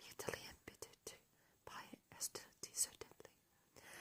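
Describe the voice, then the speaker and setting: A whispered voice moving at a moderate pace. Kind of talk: ASMR book reading to camera.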